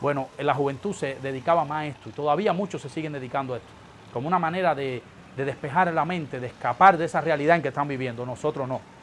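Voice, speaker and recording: Over light background noise, someone talks at a very fast pace with ordinary pitch variation. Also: man, fairly high pitch for a man. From eastern Cuba. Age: 30s. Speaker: political dissident; interviewee. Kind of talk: interview testimony. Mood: earnest, reflective. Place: office.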